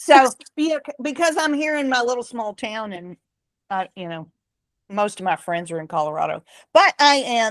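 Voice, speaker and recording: In a dry, close recording with no echo and a quiet background, a woman talks at a moderate pace, her fairly high pitch swinging very widely. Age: 60s. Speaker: book club host. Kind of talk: casual group discussion.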